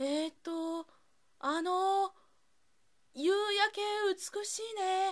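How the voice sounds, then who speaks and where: A woman's extremely high voice at a very slow pace, broken by long, frequent pauses. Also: ordinary pitch variation. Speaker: narrator. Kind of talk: read story. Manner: fresh, inexperienced.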